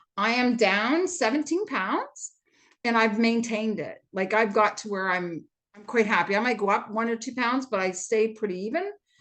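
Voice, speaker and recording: In a Canadian accent, a woman with a plain, everyday voice speaks at a moderate pace, her pitch fairly high and her intonation lively. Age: 60s. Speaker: retired fitness instructor. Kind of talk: testimony.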